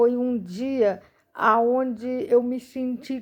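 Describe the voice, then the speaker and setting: This is a woman speaking. Her voice sits fairly high. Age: 40s. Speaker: missionary. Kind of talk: testimony.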